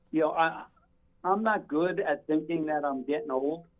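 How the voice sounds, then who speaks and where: The pitch here is fairly high. It belongs to a man. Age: 60s. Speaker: retired firefighter and club owner. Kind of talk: interview. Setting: phone call.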